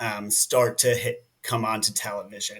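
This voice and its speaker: A man with a New Jersey accent speaks at a very slow pace. His voice sits at a medium pitch. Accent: American English, New Jersey. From New Jersey, US. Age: 30s. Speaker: nonprofit director. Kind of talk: interview conversation. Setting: podcast.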